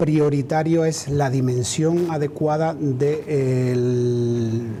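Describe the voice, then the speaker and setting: Against noticeable background noise, a man speaks very slowly, fairly high in pitch, with fairly even intonation. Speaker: trade union president. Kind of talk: TV interview answer.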